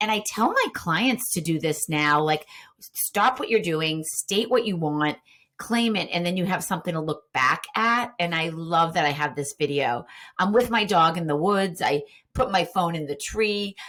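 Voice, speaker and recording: A woman talks at a moderate pace with a Boston accent. Her pitch sits fairly low, and her intonation is lively. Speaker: Instagram marketing coach. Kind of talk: podcast interview. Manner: animated.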